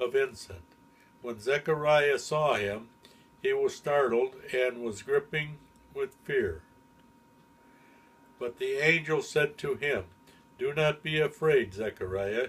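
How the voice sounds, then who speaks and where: Long pauses come often as a man talks very slowly. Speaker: grandfather. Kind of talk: Bible reading.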